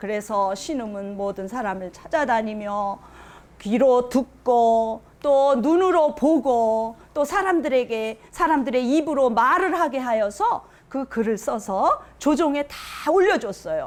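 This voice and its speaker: Very slowly and with lively intonation, a woman speaks at a high pitch. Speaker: storytelling grandmother, volunteer storyteller for children. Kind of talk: folk tale narration to children. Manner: warm, expressive, childlike storyteller delivery.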